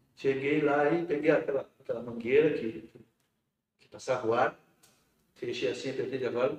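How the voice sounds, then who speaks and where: A man's fairly high voice with ordinary pitch variation, a fairly quick pace and long, frequent pauses. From rural Rio Grande do Sul, Brazil. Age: 50s. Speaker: metalworker and union director. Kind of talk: interview about life story. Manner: halting, many repetitions.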